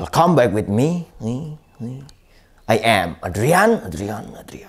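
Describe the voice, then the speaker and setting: The speaker talks at a very slow pace with very wide pitch swings over a quiet background. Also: man. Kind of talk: comic performance, self-introduction and ventriloquist dialogue. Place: studio. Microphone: lapel.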